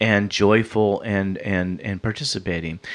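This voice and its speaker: A normal speaking voice, a man talks at a fairly slow pace with a fairly low pitch and fairly even intonation. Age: 50s. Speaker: spiritual experiencer telling his story. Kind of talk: interview testimony.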